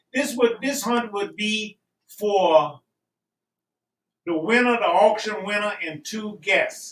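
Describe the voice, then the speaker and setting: Very slow and marked by long, frequent pauses, a man speaks at a high pitch. His pitch variation is ordinary. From Louisiana. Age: 70s. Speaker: rabbit hunter, beagle handler. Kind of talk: casual pitch for auction item. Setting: live-streamed auction in a shop.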